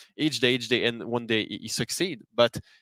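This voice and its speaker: A man's medium-pitched voice with a Quebec accent, in a dry, close sound with no echo. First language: French. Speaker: hockey journalist. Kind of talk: podcast discussion. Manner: halting.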